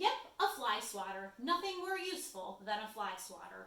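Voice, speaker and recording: A woman's put-on character voice, fairly high in pitch, with a slight echo. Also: moderate pace. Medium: read story.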